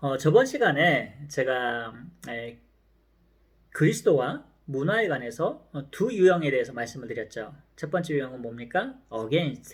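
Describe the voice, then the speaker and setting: A somewhat breathy man talks at a fairly slow pace in a fairly high pitch, with lively intonation, big swings in loudness and audible room echo. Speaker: professor. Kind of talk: lecture.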